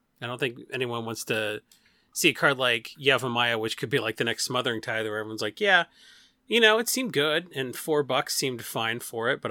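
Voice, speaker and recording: A man's medium-pitched voice, bright and sharp in tone, at a fairly quick pace on a very clean recording with a silent background. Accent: Rust Belt. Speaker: Magic card game content site lead. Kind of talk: casual chat.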